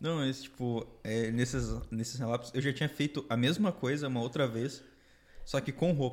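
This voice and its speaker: A very clean recording, its background silent, captures a man whose intonation stays fairly even. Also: medium pitch for a man, moderate pace. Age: 20s. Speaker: podcast guest. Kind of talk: casual chat.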